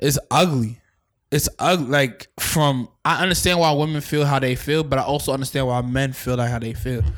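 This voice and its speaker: In a normal speaking voice with an American accent, a man talks at a fairly high pitch and moderate pace on a very clean recording with a silent background. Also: fairly even intonation. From New York, Staten Island. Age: 20s. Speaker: podcast host. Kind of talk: casual chat.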